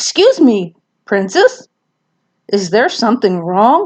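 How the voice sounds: Putting on a raspy character voice, a woman talks fairly slowly at a fairly high pitch.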